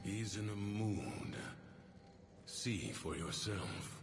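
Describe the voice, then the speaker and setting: Putting on a character voice, a man with a fairly low pitch speaks at a very slow pace against clear background noise. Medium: machinima. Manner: calm, cryptic.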